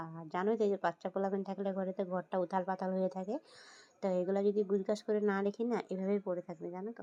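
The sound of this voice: At a very fast pace, a woman speaks at a medium pitch with little pitch movement. Her tone is dark and mellow, and the sound is dry and close with no echo.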